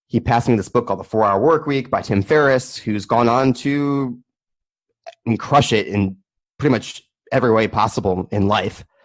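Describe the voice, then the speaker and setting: A man with a plain, everyday voice, medium in pitch, ordinary pitch variation, a moderate pace and an American accent. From US, Maryland. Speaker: crypto podcaster and entrepreneur. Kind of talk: casual interview chat.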